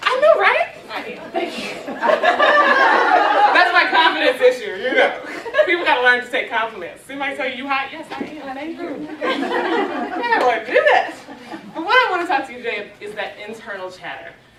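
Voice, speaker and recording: A woman projects a raised, high voice with very wide pitch swings at a moderate pace. Audible room echo and crowd noise fill the background. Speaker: conference speaker. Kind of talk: motivational talk with dance warm-up.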